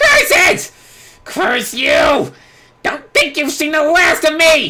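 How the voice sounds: In a put-on character voice with a bright, sharp tone, the speaker goes at a slow pace with very wide pitch swings.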